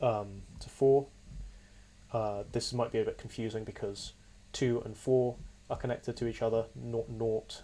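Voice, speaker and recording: A somewhat breathy man at a fairly slow pace, with fairly even intonation. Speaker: computer science student. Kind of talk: software demo walkthrough.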